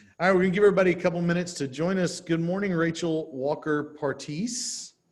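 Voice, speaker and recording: In an American accent, a man talks at a very fast pace, his high pitch moving with ordinary variation. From Texas. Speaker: real estate trainer. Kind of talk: workshop training session. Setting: video call with live stream.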